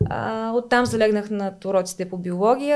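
A woman's plain, everyday voice at medium pitch, with ordinary pitch variation, a moderate pace and a very clean recording with a silent background. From Bulgaria, Smolyan (Rhodopes). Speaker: veterinarian. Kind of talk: casual interview.

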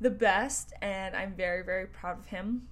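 With a western Canadian accent, a woman talks at a fairly slow pace, and the room echo is audible. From northern Alberta, Canada. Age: 20s. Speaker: podcast host and entrepreneur. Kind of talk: casual solo monologue. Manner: animated.

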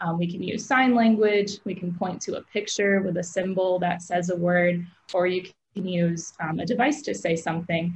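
Speaking with a Midwestern American accent, a woman sounds somewhat breathy at a medium pitch, using ordinary pitch variation and a moderate pace. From US Midwest, Aurora, Illinois. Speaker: speech pathologist. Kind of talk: interview.

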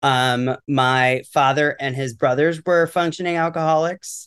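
This is a man with a normal speaking voice and an American accent, pitched fairly high. He talks at a moderate pace with ordinary pitch variation over a quiet background. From New York City area. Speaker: educator. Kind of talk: recovery testimony interview.

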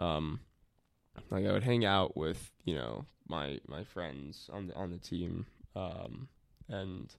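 In a very clean recording with a silent background, a voice with an American accent and vocal fry moves very slowly with lively intonation. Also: man. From New Jersey, Maplewood. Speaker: host's boyfriend, former conservation corps member. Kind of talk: casual chat.

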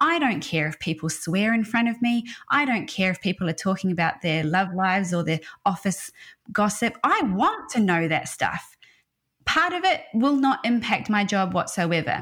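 With an Australian accent, a woman talks at a moderate pace and a medium pitch, her pitch swinging very widely. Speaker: HR consultancy founder. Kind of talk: interview conversation. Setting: video call.

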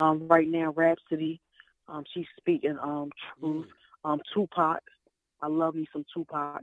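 A woman's very deep, low voice in a monotone, flat intonation, at a fairly slow pace, with long, frequent pauses and big swings in loudness. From North Philadelphia. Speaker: rapper. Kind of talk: interview answers. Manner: hesitant, many 'um' pauses.

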